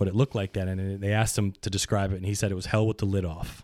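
A man speaks very fast with an American accent, his pitch fairly low. The recording is very clean and dry, close up with a silent background and no echo. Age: 40s. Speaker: podcast guest. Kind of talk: casual chat.

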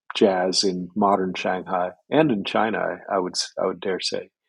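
A man with an American accent, very deep, low pitch and a moderate pace, set against a quiet background. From US Northeast, Boston. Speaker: history professor. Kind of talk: casual chat. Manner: halting.

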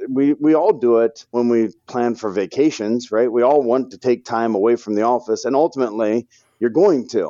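A man with an American accent talks at a moderate pace in an ordinary speaking voice. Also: medium pitch for a man, ordinary pitch variation. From St. Louis, Missouri, US. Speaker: financial advisor. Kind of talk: interview podcast.

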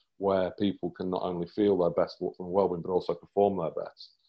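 A man speaks with a British accent. His pace is fairly quick. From UK. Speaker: performance coach. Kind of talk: interview.

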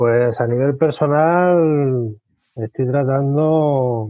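A man talks in a normal speaking voice at a medium pitch. The pitch variation is ordinary. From Spain, Albacete. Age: 40s. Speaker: aspiring web developer, former hospitality worker. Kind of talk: interview.

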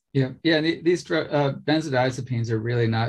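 A somewhat breathy male voice at a moderate pace. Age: 50s. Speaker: podcast host. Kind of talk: interview conversation.

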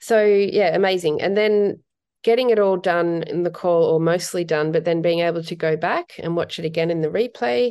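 A woman's fairly low voice with a dark, mellow tone and an Australian accent, ordinary pitch variation and a moderate pace, set against a quiet background. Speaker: portrait photographer. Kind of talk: interview.

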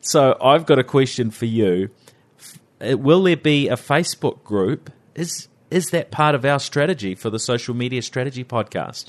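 A man with a New Zealand accent speaks at medium pitch and a moderate pace. His pitch varies in an ordinary way, while his loudness swings widely. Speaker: interviewer, guest host. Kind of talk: interview, casual chat.

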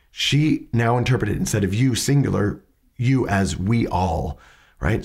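Vocal fry at a fairly slow pace, in a very clean recording with a silent background. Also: man. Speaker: podcast host teaching questioning skills. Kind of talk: educational commentary on interview clips. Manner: conversational, with hesitations.

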